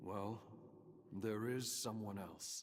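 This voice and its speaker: A man puts on a character voice that sounds raspy. His pitch sits fairly low. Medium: video game. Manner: terse, reserved.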